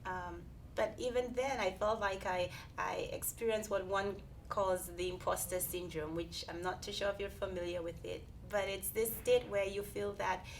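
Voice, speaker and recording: With audible room echo, a woman with a Saint Lucian accent speaks at a moderate pace. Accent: Caribbean (Saint Lucian). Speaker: research scientist. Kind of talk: interview. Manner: halting, many fillers.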